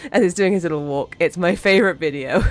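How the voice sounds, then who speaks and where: A woman's medium-pitched voice with ordinary pitch variation, music playing in the background. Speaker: vtuber streamer. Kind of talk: live game stream chat. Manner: casual, repetitive, stammering.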